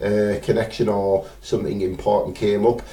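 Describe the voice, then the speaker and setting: A man with a northeast England accent speaks at a fairly low pitch. He keeps a moderate pace, and audible room echo can be heard. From northeast England, Teesside. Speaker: spirit medium. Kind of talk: live stream chat. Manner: hesitant, many fillers.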